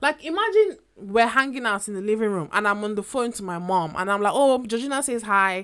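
A woman with an ordinary speaking voice, fairly high in pitch, at a fairly quick pace with ordinary pitch variation and hardly any pauses. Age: 20s. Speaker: podcast host. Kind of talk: casual chat.

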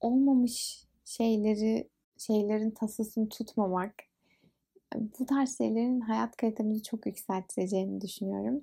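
At a very slow pace, a woman speaks in a fairly high pitch with ordinary pitch variation, her dark, mellow tone somewhat breathy. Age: 20s. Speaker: podcast host. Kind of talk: casual monologue.

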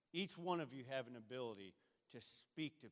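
This man speaks at a fairly quick pace in a normal speaking voice. His pitch is medium and varies in an ordinary way. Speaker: church member. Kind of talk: testimony. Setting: church.

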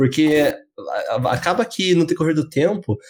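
A man with a somewhat breathy voice and lively intonation speaks at a moderate pace on a very clean recording with a silent background. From southern Brazil, Curitiba. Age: 20s. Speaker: podcast co-host. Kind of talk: casual chat.

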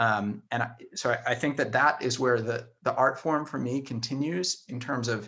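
With ordinary pitch variation, a man talks in a plain, everyday voice. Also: very clean recording, silent background. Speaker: political campaign organizer. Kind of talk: casual interview.

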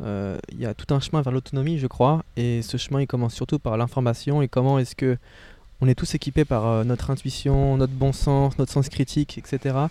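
Here a man speaks at a medium pitch in a dark, mellow tone. His pace is moderate, his intonation fairly even, and the sound is dry and close with no echo. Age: 20s. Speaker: podcast host. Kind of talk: casual interview. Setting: parked car, windows open.

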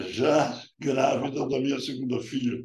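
Vocal fry with audible room echo. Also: man. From Paraíba, Brazil (rural interior). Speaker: urologist. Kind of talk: interview. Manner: halting.

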